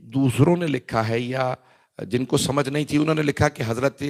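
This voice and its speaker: A man talks at medium pitch, with vocal fry in his voice. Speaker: Shia cleric giving majlis. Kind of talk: religious sermon (majlis). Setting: gathering with audience. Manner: emphatic.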